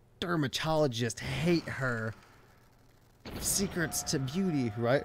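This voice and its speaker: With ordinary pitch variation, a man talks at a very slow pace. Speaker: video game streamer. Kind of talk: live stream chat. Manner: casual, joking.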